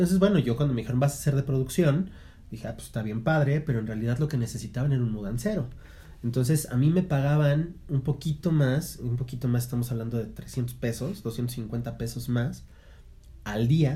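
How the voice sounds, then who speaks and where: A man's voice comes across dark, mellow and somewhat breathy. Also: medium pitch for a man, ordinary pitch variation, moderate pace. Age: 30s. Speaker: podcast co-host, theatre teacher. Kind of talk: casual chat.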